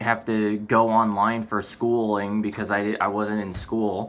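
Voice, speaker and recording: An American-accented man talks at a fairly slow pace. His pitch is fairly low. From United States. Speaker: vlogger. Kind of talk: casual vlog monologue. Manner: halting, many false starts and fillers.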